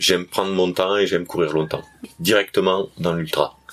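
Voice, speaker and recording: A man with a southern French accent speaks at a moderate pace in a very deep, low pitch, his intonation monotone and flat. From southern France. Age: 40s. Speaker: trail runner, history-geography teacher. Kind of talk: interview. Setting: at a race event in Canada.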